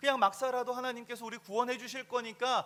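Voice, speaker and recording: A man projects his voice, raised and extremely high in pitch. His tone is bright and sharp, and his pace fairly quick. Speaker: pastor. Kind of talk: sermon. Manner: conversational, asks the congregation questions.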